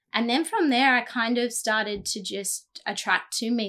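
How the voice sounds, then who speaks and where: A woman with an Australian accent talks at a moderate pace with fairly even intonation. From Australia, New South Wales (Jindabyne). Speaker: children's charity director. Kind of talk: casual chat.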